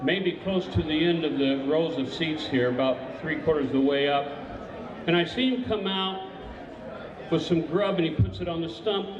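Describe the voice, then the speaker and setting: Noticeable background noise and audible room echo surround this recording. A man with a fairly high pitch speaks at a moderate pace with lively intonation. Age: 70s. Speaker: bigfoot witness. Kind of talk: testimony.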